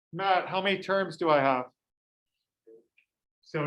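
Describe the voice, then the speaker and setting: A man speaks loudly in a high pitch with ordinary pitch variation. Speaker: high school math teacher. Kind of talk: classroom lecture. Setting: classroom with students.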